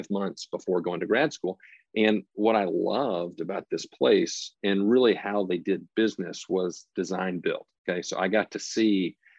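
With a Tennessee accent, a man talks at a moderate pace and fairly low pitch, with fairly even intonation. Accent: Southern US (Tennessee). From US South, Nashville, Tennessee. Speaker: construction company president. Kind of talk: interview.

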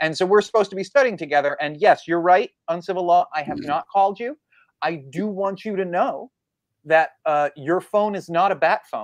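A high-pitched man at a moderate pace, with a dry, close sound, no echo, and a quiet background. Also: lively intonation. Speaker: law graduate studying for the bar. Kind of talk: casual legal discussion. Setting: livestream.

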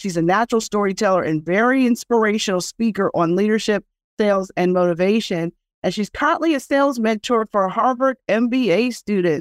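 Heard in a dry, close sound with no echo, a woman with a plain, everyday voice speaks fairly fast at a fairly high pitch, with ordinary pitch variation and very even loudness. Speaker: podcast host. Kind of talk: interview with promo intro.

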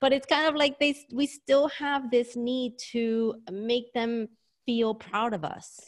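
A woman with a New York accent talks very slowly in a high voice, her pitch varying in an ordinary way. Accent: New York American. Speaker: career strategist. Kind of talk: casual interview.

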